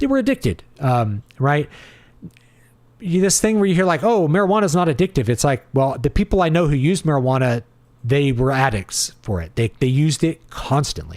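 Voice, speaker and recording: A man speaks at a fairly high pitch with very wide pitch swings. His loudness stays very even. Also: fairly quick pace. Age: 40s. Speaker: livestream host answering chat. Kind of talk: casual livestream commentary reading chat. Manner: conversational, with filler words.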